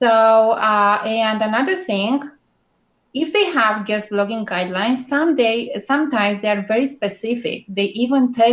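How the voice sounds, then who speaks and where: With a strong Romanian accent, a woman speaks at a fairly high pitch. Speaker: guest blogging expert. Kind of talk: interview. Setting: live video call.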